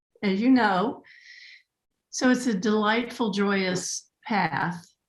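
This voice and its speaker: A woman with an American accent talks very slowly, her fairly high voice somewhat breathy and showing ordinary pitch variation. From US West Coast, southern California. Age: 70s. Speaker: animal communicator and pet astrologer. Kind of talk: casual interview chat.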